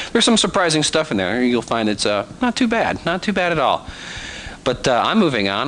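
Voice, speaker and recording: The speaker moves at a fairly quick pace with very wide pitch swings, over noticeable background noise. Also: man. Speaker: animation tutor. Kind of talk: tutorial. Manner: casual, conversational with fillers.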